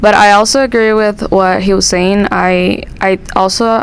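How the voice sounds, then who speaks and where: Over noticeable background noise, a woman speaks at a moderate pace with a medium pitch and fairly even intonation. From Dominican Republic. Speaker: international student. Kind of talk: casual chat.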